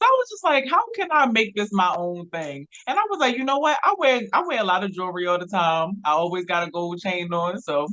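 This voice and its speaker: Speaking at a fairly quick pace with a Baltimore accent, the voice swings very widely in pitch. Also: woman. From Baltimore, Maryland. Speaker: blogger and filmmaker. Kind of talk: casual interview.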